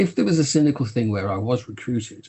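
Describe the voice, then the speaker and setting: A man talks at a moderate pace with lively intonation. His voice is somewhat breathy. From Birmingham, English West Midlands. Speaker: TV producer. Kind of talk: interview.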